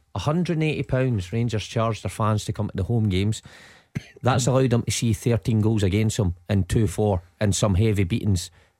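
Speaking at a moderate pace with a Scottish accent, a man has a fairly low pitch, a dark, mellow tone and ordinary pitch variation. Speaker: football pundit. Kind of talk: radio phone-in discussion. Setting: studio.

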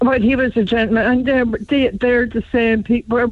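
In a Cork accent, a woman talks at a moderate pace and fairly high pitch with monotone, flat intonation. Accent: Cork Irish. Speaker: caller. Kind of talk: radio phone-in. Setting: phone call.

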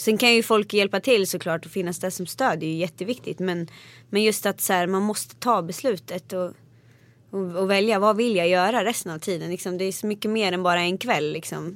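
Speaking at a fairly quick pace, a woman has a plain, everyday voice. Her pitch is medium and her intonation fairly even. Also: very clean recording, silent background. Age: 20s. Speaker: singer. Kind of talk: interview.

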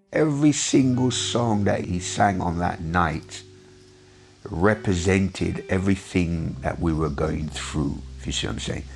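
Very deep, low male voice at a fairly slow pace, with very wide pitch swings and noticeable background noise. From Jamaica, raised in London England. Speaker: photographer. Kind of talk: recounting memories in an interview.

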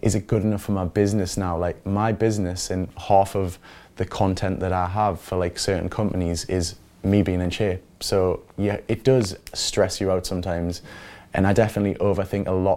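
On a very clean recording with a silent background, a man with a Geordie accent speaks at a fairly quick pace in a very deep, low pitch, his tone dark and mellow and his intonation monotone and flat. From Newcastle, northeast England. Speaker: reality TV personality. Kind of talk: interview.

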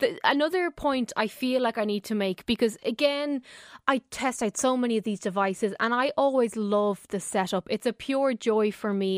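With an Irish accent, a woman talks at a moderate pace in a fairly high pitch, her intonation lively, the sound dry and close with no echo on a very clean recording with a silent background. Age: 30s. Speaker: technology correspondent. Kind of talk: radio tech segment. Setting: radio studio.

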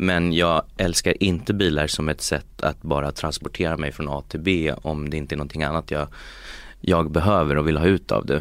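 At a moderate pace, the speaker keeps a fairly even intonation on a very clean recording with a silent background. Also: man. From Sweden, Uppsala. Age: 30s. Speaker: tech company executive. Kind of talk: interview. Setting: studio. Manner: halting, many repetitions.

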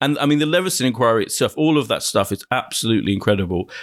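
A man talks at a very fast pace. His fairly high voice carries vocal fry. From Essex, England (Ilford). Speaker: TV critic. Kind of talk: casual chat.

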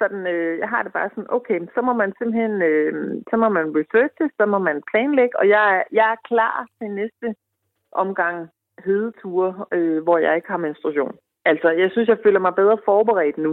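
A woman speaks in an ordinary speaking voice at a medium pitch. Her pace is moderate, and her pitch variation is ordinary. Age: 40s. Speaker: woman in menopause. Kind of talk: interview.

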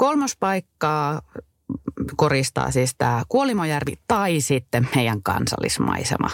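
A woman speaks with vocal fry in a very deep, low pitch that makes very wide swings, at a very slow pace. Her loudness stays very even, with a dry, close sound and no echo. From Finnish Lapland, Kittilä. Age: 30s. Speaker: travel podcast co-host. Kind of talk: casual chat.

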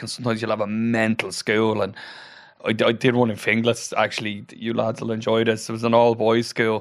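At a medium pitch, a man speaks at a fairly quick pace. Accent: Dublin. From Ireland (Dublin and Wicklow). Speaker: comedian. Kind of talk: casual chat.

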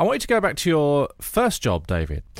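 A man at a fairly quick pace, his pitch swinging very widely, with music in the background. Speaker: radio host. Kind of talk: interview. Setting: studio.

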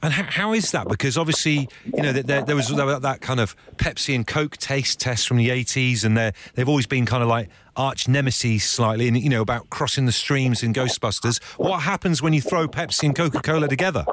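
A man with a British accent talks at a fairly quick clip. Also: medium pitch for a man, ordinary pitch variation. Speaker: radio host. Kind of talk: casual chat. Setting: studio. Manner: animated.

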